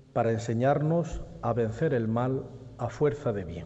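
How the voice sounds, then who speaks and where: A man's dark, mellow, somewhat breathy voice carries a solemn tone, moving at a fairly slow pace with ordinary pitch variation. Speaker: presenter of the herald. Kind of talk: formal speech introducing the herald, solemn oratory. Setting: stage with audience in theatre. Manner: formal, solemn.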